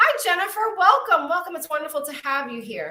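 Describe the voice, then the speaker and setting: A raised, projected voice in an American accent, bright and sharp in tone, with very wide pitch swings. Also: woman. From Brooklyn, New York. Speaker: psychic medium and wellness coach. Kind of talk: live-stream oracle card readings and chat. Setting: live stream. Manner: warm, chatty.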